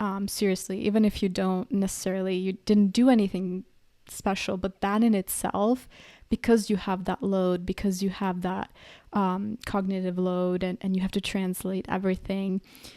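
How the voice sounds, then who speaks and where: In a very clean recording with a silent background, a woman with a southern European accent speaks at a medium pitch. Her tone is dark and mellow, her intonation monotone and flat, and her pace moderate. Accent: light southern European accent in English. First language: a southern European language. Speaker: podcaster. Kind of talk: personal reflection monologue. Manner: conversational with frequent fillers.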